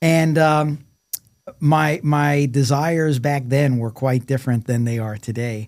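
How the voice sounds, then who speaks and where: He has a normal speaking voice, a man's, pitched fairly high. His pace is fairly slow and his intonation fairly even. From New York City (Brooklyn). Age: 60s. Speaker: engineering professor, former corporate executive. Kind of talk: podcast interview.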